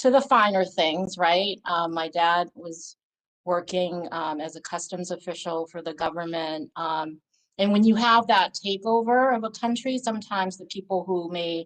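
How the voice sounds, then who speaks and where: A woman with an American accent speaks at a moderate pace in a fairly low pitch. Her loudness swings widely. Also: ordinary pitch variation. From Massachusetts, US (refugee from Laos at six). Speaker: community advocate. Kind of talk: interview. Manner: halting, many fillers.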